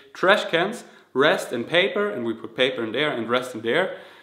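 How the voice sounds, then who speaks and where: With a slight German accent, a man talks at medium pitch. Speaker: vegan fitness youtuber. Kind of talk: Q&A vlog. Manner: halting, self-correcting.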